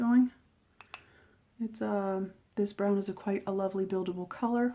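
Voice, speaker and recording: A woman speaks at a medium pitch and a moderate pace. Her intonation is monotone and flat. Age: 50s. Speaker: beauty reviewer. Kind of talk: makeup tutorial talk to camera. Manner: casual, chatty.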